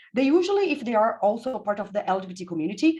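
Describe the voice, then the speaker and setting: Speaking fairly quickly with a strong Brazilian accent, a woman's somewhat breathy, medium-pitched voice swings very widely in pitch. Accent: heavy Brazilian Portuguese. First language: Portuguese. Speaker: physicist and physics education researcher. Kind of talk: conference presentation. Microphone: unreliable internet connection.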